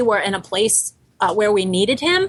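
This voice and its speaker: With an American accent, a woman speaks at a fairly quick pace. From Boston. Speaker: bakery co-founder. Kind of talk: interview.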